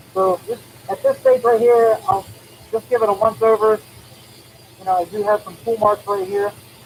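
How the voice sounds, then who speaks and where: A man speaks at a moderate pace in a high, flat monotone, with long, frequent pauses over noticeable background noise. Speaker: woodturner. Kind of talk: live tutorial. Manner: casual.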